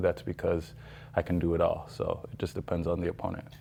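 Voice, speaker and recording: A man speaks at a very deep, low pitch with fairly even intonation. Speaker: kickboxer. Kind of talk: casual interview. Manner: halting, many fillers.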